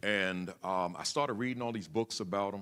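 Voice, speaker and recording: Loud and with a bright, sharp tone, a man speaks at a very deep, low pitch with ordinary pitch variation. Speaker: school principal, keynote speaker. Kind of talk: keynote speech. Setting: conference hall with audience, on the floor. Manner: halting, repeats words.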